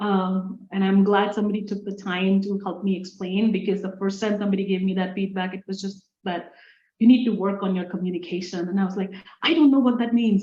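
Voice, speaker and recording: At a fairly quick pace, a woman talks in a somewhat breathy, dark, mellow tone at medium pitch, her intonation fairly even. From India. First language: Indian language. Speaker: engineer and STEM leader. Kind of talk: interview conversation. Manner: halting.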